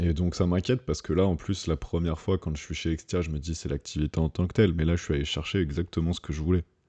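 Against a quiet background with a dry, close sound and no echo, a man speaks at a very fast pace with hardly any pauses, his very deep, low pitch, dark, mellow tone and fairly even intonation all clear. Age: 30s. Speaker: padel coach and app co-founder. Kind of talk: interview.

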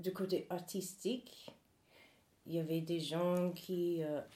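With an English accent, a woman talks at a fairly low pitch and with fairly even intonation. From US South, North Carolina. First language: English (speaking French). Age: 40s. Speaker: human rights activist. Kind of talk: interview testimony.

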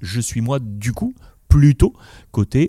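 A man's dark, mellow, somewhat breathy voice with lively intonation, in a dry, close sound with no echo. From Morocco. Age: 40s. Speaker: sports journalist. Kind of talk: interview.

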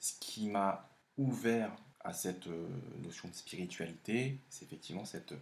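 A man speaks at a fairly slow pace. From France, of Laotian parents. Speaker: host's partner. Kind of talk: casual chat. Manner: halting.

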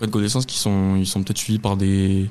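A man's fairly low-pitched voice. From Lot, southwest France. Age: 20s. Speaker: football fan. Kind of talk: testimony. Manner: halting, many repetitions and hesitations.

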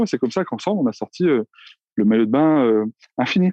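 This man talks very fast at a medium pitch, his voice rising and falling across a very wide range. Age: 40s. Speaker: entrepreneur. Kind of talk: interview.

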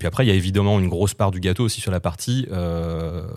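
A man speaks with a very deep, low pitch and fairly even intonation in a very clean recording with a silent background. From Vendée, France (Les Herbiers). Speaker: communications agency manager, former radio co-host. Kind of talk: casual chat.

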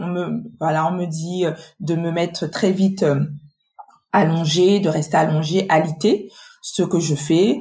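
This woman's voice is somewhat breathy. She speaks at a very slow pace. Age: 40s. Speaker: patient advocate, association volunteer. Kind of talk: personal testimony interview.

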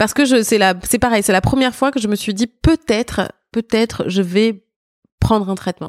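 The delivery has a moderate pace and ordinary pitch variation, recorded dry and close with no echo. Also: woman, fairly high pitch for a woman. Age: 50s. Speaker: backing singer and lyricist. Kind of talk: interview. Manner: halting.

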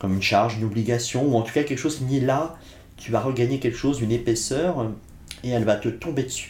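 A man's very fast, somewhat breathy voice at medium pitch, with ordinary pitch variation and audible room echo. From France, Blois (Loire valley), Corsican family. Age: 50s. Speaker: philosopher and writer. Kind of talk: interview conversation. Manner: reflective, some hesitations.

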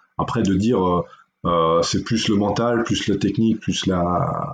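Pitch varies in an ordinary way here. The delivery is fairly slow. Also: man. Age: 40s. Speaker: mental performance coach. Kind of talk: interview. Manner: halting.

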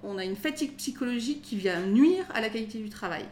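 In a normal speaking voice, a woman talks fairly quickly, her fairly high pitch carrying lively intonation. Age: 40s. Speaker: lawyer. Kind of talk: casual interview.

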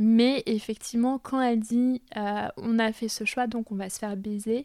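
In a very clean recording with a silent background, a woman speaks in a dark, mellow tone with fairly even intonation. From Paris suburbs, France. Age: 30s. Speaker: cultural project manager. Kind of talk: casual interview. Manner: hesitant.

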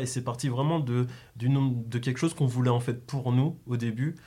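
A man talks at a fairly slow pace in a dark, mellow tone of medium pitch. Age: 20s. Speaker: graphic designer and clothing brand co-founder. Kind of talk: casual interview.

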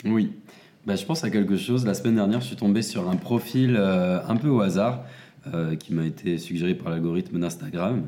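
The man's tone is dark and mellow. He speaks at a moderate pace. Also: fairly low pitch for a man, ordinary pitch variation. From France, Seine-et-Marne. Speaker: adult content creator. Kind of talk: casual chat.

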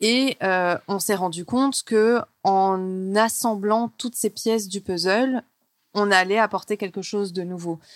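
A woman talks at a very slow pace with medium pitch and fairly even intonation. The sound is dry and close with no echo, on a very clean recording with a silent background. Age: 30s. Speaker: television journalist. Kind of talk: casual interview.

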